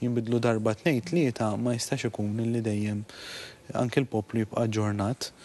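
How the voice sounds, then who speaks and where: A man's ordinary speaking voice holds a medium pitch and fairly even intonation at a moderate pace. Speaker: animal welfare official. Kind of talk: TV interview.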